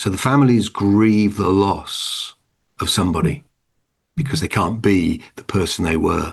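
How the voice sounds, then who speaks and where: A man's fairly low, lively-toned voice at a fairly slow pace. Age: 60s. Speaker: hospital chaplain and minister. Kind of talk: online lecture Q and A. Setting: online video call. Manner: halting.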